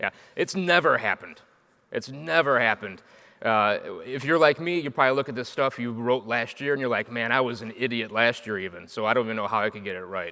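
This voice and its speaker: A man of medium pitch, bright, sharp tone, very fast pace. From Chicago, US Midwest. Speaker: agile coach and software architect. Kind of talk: conference talk. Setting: stage with audience. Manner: animated.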